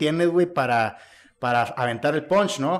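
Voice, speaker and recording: This man talks at a fairly quick pace in an ordinary speaking voice with a fairly high pitch. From Mexico, Monterrey. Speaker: podcast host. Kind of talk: casual chat.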